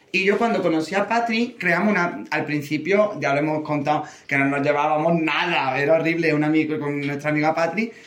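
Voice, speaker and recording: A man with an Andalusian accent talks at a fairly quick pace in a fairly high pitch, with hardly any pauses. Noticeable background noise runs under his voice. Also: ordinary pitch variation. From Andalusia (Córdoba). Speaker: drag queen. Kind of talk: casual chat.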